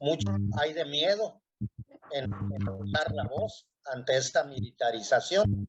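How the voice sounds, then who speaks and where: A somewhat breathy man at a very slow pace, his pitch swinging very widely. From Mexico, Culiacán, Sinaloa. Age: 60s. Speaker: panel guest. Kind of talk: panel discussion.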